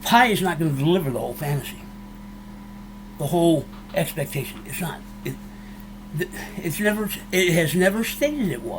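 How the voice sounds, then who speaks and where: The speech moves at a fairly quick pace with long, frequent pauses, set in audible room echo and noticeable background noise. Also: man. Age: 60s. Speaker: YouTuber, cryptocurrency commentator. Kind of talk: casual monologue to viewers. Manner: emotional, fired up; halting, many restarts.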